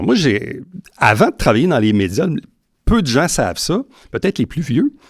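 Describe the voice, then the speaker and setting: Very wide pitch swings mark this man's fairly quick delivery. The recording is very clean, with a silent background. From Quebec, Saint-Jean-sur-Richelieu. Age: 50s. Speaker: mayoral candidate, former broadcaster. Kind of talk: campaign debate interview. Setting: host's garage.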